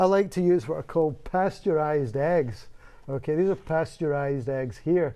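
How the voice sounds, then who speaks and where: Speaking in a Scottish accent at a moderate pace, a man uses a fairly high pitch, a dark, mellow tone, and ordinary pitch variation. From Scotland. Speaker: microbiology professor. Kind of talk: TV interview.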